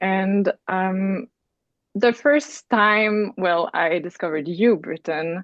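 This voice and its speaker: This voice, in a Quebec accent, moves at a very slow pace with ordinary pitch variation. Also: woman, medium pitch for a woman. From Quebec, Canada. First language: French. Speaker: astrology student, program alum. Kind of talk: podcast conversation. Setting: remote call. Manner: casual, many fillers.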